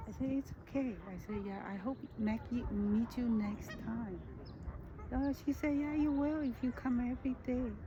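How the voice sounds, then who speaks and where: A woman speaks at a moderate pace in a high voice with ordinary pitch variation, over noticeable background noise. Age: 60s. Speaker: nature vlogger. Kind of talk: casual monologue vlog. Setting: outdoors in a park. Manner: halting, many restarts.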